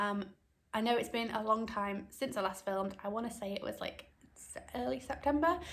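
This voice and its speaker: Somewhat breathy and fairly high in pitch, a woman with a British accent speaks at a moderate pace with ordinary pitch variation. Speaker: cross-stitch video blogger. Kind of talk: casual chat. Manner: hesitant, many ums.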